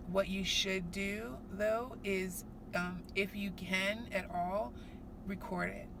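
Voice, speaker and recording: A woman talks with audible room echo and noticeable background noise around her. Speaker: vlogger, working mother. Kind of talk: casual vlog. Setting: on the way to work. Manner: fast.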